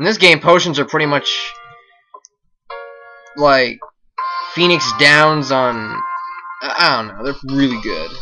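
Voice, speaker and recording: Over music in the background, a man with a fairly high pitch talks at a very slow pace with long, frequent pauses, big swings in loudness and ordinary pitch variation. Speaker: let's play commentator. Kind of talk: casual gameplay commentary.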